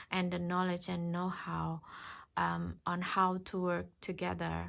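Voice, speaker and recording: A woman with a non-native accent speaks at a very slow pace. The recording is very clean, with a silent background. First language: not English. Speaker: tarot reader. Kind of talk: tarot reading. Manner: halting.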